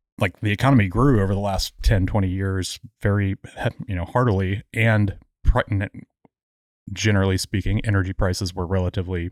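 In an American accent, a man speaks at a fairly low pitch with fairly even intonation and long, frequent pauses. The sound is dry and close with no echo, on a very clean recording with a silent background. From Houston, Texas and Memphis. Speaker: guest co-host. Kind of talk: casual chat.

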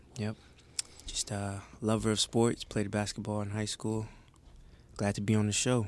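This man speaks with an American accent at a moderate pace, his fairly low voice flat and monotone, broken by long, frequent pauses. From Detroit, Michigan. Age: 20s. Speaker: intern, college student. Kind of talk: casual chat.

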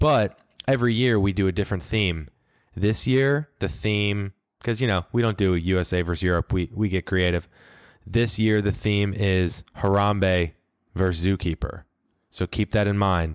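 A man with an American accent and a plain, everyday voice speaks at a moderate pace, fairly low in pitch with ordinary pitch variation and very even loudness. The sound is dry and close with no echo, on a very clean recording with a silent background. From US Midwest, St. Louis. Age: 20s. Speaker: podcast host. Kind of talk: casual chat.

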